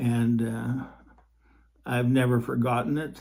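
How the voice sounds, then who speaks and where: This man talks at a very slow pace in a dark, mellow, somewhat breathy voice with a monotone, flat delivery. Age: 70s. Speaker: podcaster telling personal faith stories. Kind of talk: personal storytelling monologue. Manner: halting, many fillers and repeats.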